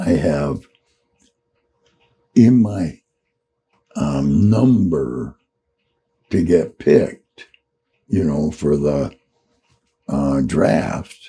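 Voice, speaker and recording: A very slow, lively voice with an American accent, a dark, mellow tone, vocal fry and long, frequent pauses. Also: man, very deep, low pitch for a man. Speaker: Vietnam war veteran. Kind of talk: oral storytelling, casual reminiscence. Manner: slow, unhurried.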